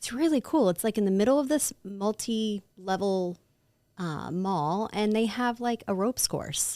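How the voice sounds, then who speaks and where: A woman with a Midwestern American accent speaks fairly slowly in a dark, mellow tone, the sound dry and close with no echo. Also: medium pitch for a woman, lively intonation, very clean recording, silent background. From Ohio. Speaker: Pilates teacher. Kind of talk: podcast interview answer. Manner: casual, upbeat.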